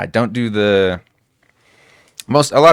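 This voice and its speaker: The recording is very clean, and the background is silent. A man talks at a moderate speed. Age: 20s. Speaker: IT programmer, podcast guest. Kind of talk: casual chat. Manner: loud; passionate.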